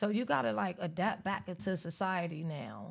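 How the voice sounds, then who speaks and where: A woman speaks at a medium pitch with vocal fry. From US, Cuban family, grew up locally. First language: Spanish. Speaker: published author. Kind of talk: casual interview. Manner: animated.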